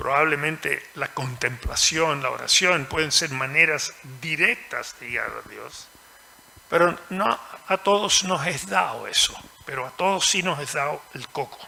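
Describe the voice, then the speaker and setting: Against noticeable background noise, a man talks at a fairly slow pace with a fairly high pitch and ordinary pitch variation. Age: 80s+. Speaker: author. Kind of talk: panel discussion.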